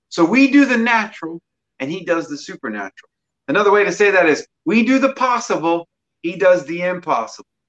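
A man talks at a fairly quick pace with a high pitch and lively intonation. The sound is dry and close, with no echo. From Mississippi. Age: 40s. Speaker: personal trainer. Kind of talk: casual chat.

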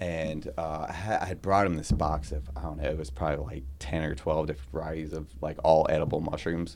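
A man with an American accent speaks in a very deep, low pitch with fairly even intonation. His pace is fairly quick, with hardly any pauses. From Florida, St. Augustine. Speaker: chef and restaurant owner. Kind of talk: casual interview.

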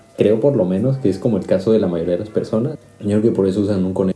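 A man's fairly low voice with a Mexican accent, at a very fast pace over background music. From Mexico. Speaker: podcast host, chemical engineering student. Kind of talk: casual chat.

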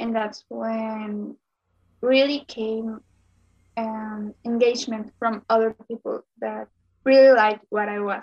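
A woman's fairly high voice with a Spanish accent, fairly slow and monotone in flat intonation, with a dry, close sound and no echo. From Mexico, Sonora. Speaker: makeup content creator. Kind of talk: interview.

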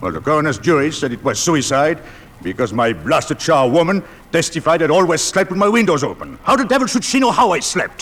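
A gruff, put-on character voice from a man, pitched fairly high, at a fairly quick pace over light background noise. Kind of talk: 1940s radio acting. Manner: gruff, blustering, swearing.

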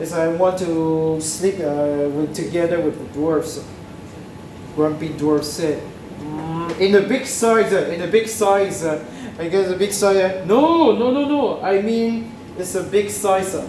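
Amid noticeable background noise, a man with high pitch speaks at a very slow pace. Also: ordinary pitch variation. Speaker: student speaker. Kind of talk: storytelling.

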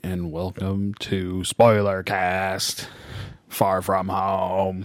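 A man puts on a robotic character voice with very deep, low pitch. He talks at a very slow pace in a monotone, flat intonation. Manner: playful, comedic.

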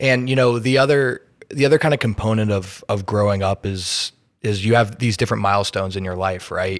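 Talking at a fairly quick pace, a man with an American accent has an unremarkable speaking voice with a fairly low pitch, on a very clean recording with a silent background. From Indiana. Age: young. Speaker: podcast host. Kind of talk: casual interview.

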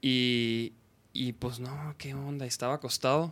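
A man at medium pitch in a plain, everyday voice, fairly even intonation, dry, close sound with no echo. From Chihuahua, Mexico. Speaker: podcast host. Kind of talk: casual chat. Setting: live stream. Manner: informal, slangy.

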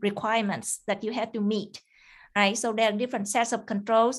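A woman in a Vietnamese accent, fairly high-pitched with monotone, flat intonation, against a quiet background. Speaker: cybersecurity engineer. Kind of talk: interview. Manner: halting, many fillers.

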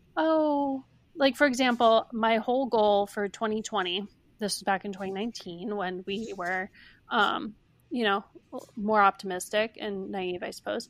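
In an unremarkable speaking voice, a woman talks at a moderate pace with a fairly high pitch and ordinary variation, on a very clean recording with a silent background. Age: 20s. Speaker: founder of a self-care brand. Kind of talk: interview.

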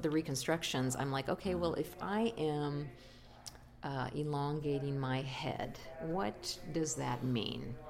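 This voice belongs to a woman. It sits very deep and low. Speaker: studio owner and artist. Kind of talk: casual interview. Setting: interview at a conference venue.

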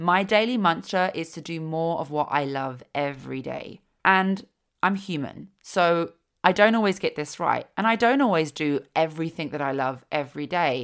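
A woman with a fairly low pitch talks at a moderate pace with lively intonation, in a very clean recording with a silent background. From East London, England. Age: 30s. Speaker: podcast host, yoga teacher and empowerment guide. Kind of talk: solo podcast monologue, personal storytelling.

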